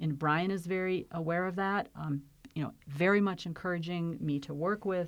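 This is an unremarkable speaking voice: a woman with an American accent and a fairly low pitch, using fairly even intonation. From Flint, Michigan. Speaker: county health and human services executive. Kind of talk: interview.

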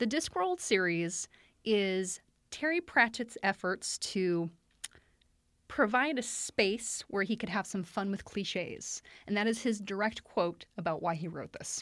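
A woman with a plain, everyday voice speaks at medium pitch and a fairly slow pace, with lively intonation. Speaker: librarian podcast host. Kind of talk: casual book discussion.

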